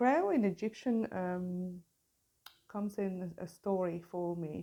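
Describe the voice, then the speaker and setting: A woman with a Hungarian accent speaks in a dark, mellow tone at medium pitch, her intonation fairly even. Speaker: tarot reader. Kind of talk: tarot reading. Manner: halting.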